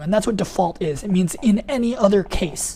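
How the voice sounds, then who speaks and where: A woman speaks at a medium pitch with ordinary pitch variation. Her tone is dark and mellow, and somewhat breathy. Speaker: programming instructor. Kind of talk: webinar lecture. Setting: online webinar. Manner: fast; casual, many fillers.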